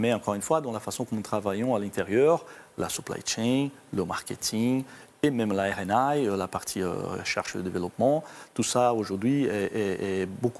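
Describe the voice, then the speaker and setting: A man speaks at a fairly slow pace with a slight Brazilian accent. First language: Portuguese (speaking French). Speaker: corporate IT executive. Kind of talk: interview. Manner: halting, with repetitions and fillers.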